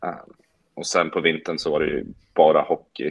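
In a dry, close sound with no echo, a man's speech moves at a moderate pace. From Sweden, Gävle. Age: 20s. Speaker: professional golfer. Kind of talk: casual interview.

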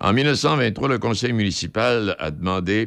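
The speaker is a man. His voice has vocal fry. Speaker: radio host. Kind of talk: casual chat. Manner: halting.

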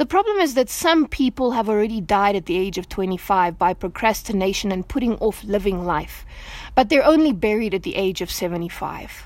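A woman's normal speaking voice at a medium pitch, lively in intonation, at a moderate pace. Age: 30s. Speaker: devotional speaker. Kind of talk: devotional talk.

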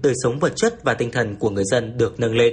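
A somewhat breathy man with lively intonation. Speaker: radio news reporter. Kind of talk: news reading.

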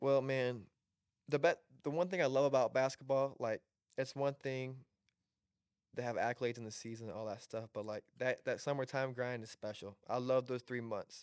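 A man with an American accent uses a normal speaking voice at medium pitch and a moderate pace, with fairly even intonation. The sound is dry and close with no echo. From Southwest Michigan. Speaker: college basketball player. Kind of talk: casual chat.

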